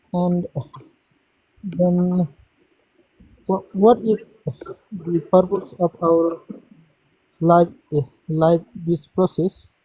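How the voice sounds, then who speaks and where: A very slow, monotone, flat delivery in a non-native accent, dark and mellow in tone, broken by long, frequent pauses. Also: man, high pitch for a man, dry, close sound with no echo. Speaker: Buddhist practitioner asking questions. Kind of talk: casual Q&A discussion. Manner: halting.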